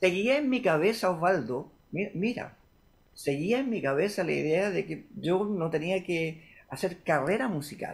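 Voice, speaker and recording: A man's high-pitched voice at a fairly slow pace. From Chile. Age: 60s. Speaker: guitarist and music producer. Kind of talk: interview. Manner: halting, with frequent repetitions.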